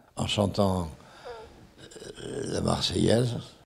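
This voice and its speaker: A man's fairly low voice with vocal fry, ordinary pitch variation and a very slow pace. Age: 80s+. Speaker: war witness. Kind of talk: interview answer. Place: home room. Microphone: handheld.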